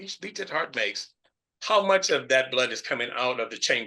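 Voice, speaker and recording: A man's voice has a bright, sharp tone and very wide pitch swings. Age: 70s. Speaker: physician. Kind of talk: webinar talk. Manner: animated.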